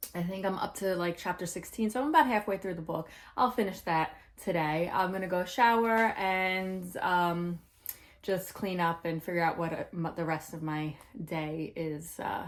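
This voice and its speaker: Talking at a moderate pace, a woman has an unremarkable speaking voice with a fairly low pitch and ordinary pitch variation. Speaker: book vlogger. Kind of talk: casual vlog. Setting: bookstore.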